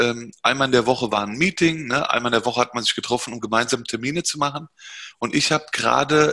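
Speaking at a fairly quick pace, a man with a medium-pitched, bright, sharp tone keeps his intonation fairly even. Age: 40s. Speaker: entrepreneur. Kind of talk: interview.

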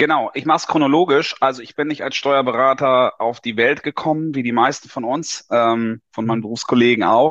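A man talks fairly quickly in an ordinary speaking voice. His pitch is medium and his intonation fairly even. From Lower Saxony, northern Germany. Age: 40s. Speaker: tax advisor. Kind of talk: interview.

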